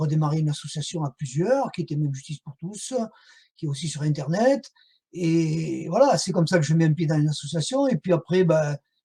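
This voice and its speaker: A man's fairly high, dark and mellow voice in a southern French accent at a fairly quick pace, dry and close with no echo. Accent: southern French (Midi). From southern France. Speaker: whistleblower and association activist. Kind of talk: interview testimony. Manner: hesitant, many fillers.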